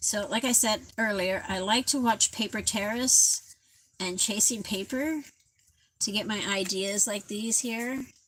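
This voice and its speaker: In an ordinary speaking voice, a woman talks at a fairly slow pace. Her pitch is fairly high, with ordinary variation. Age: 60s. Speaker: craft livestreamer. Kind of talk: casual live craft tutorial. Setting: livestream at home.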